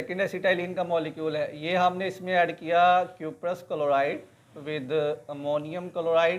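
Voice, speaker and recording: A man talks at a moderate pace with a high pitch. His intonation is monotone and flat. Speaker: chemistry teacher. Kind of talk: lecture.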